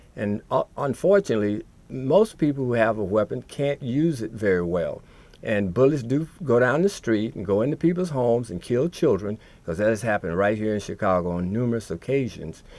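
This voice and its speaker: With a plain, everyday voice, a man speaks at a fairly quick pace and medium pitch. His intonation is lively. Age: 60s. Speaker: TV talk show co-host. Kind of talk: live call-in TV discussion.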